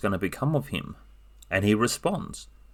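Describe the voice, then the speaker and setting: A moderate pace and fairly low pitch from a man, in an ordinary speaking voice. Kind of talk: casual book review talk.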